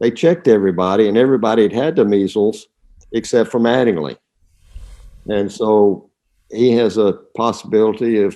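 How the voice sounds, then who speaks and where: A man's fairly low, dark, mellow voice in a Southern US accent, with ordinary pitch variation and long, frequent pauses. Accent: Southern drawl. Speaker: retired astronaut. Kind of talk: interview answer.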